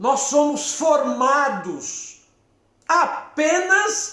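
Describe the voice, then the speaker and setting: The man speaks at an extremely high pitch. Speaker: psychologist. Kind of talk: live stream talk. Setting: live stream from therapy office.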